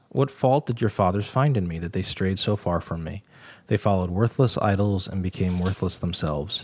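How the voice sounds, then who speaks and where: An unremarkable speaking voice from a man, fairly low and lively at a moderate pace, in a very clean recording with a silent background. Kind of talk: casual Bible study discussion.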